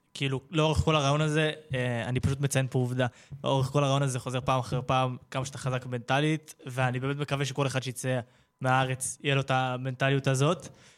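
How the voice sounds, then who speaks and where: In monotone, flat intonation, a man talks at a fairly quick pace. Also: medium pitch for a man. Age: young. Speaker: youth radio host. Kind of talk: casual interview.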